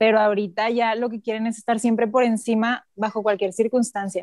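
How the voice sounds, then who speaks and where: A woman with a rather high voice keeps to a medium speed. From northern Mexico. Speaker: doctor. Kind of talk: casual chat.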